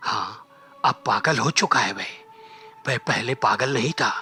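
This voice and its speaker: A put-on character voice speaks at a moderate pace. Faint music plays in the background. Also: man, fairly high pitch for a man. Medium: read story.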